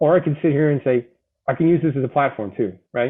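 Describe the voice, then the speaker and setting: A man talks with a Boston accent. He goes at a fairly quick pace. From Boston, US. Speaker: Marine veteran with cancer. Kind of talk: interview testimony. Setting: live online show.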